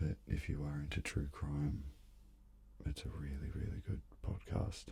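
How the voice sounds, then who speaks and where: Soft-spoken, a man with a very deep, low pitch and a dark, mellow tone talks at a moderate pace with vocal fry and lively intonation. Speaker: musician. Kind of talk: ASMR soft-spoken ramble.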